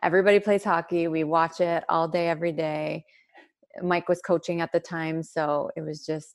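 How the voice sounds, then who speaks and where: Her intonation monotone and flat, a woman speaks at a moderate pace and a fairly low pitch. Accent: Canadian. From Sudbury, Ontario, Canada (French-Canadian family). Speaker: hockey wife and mother. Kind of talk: interview.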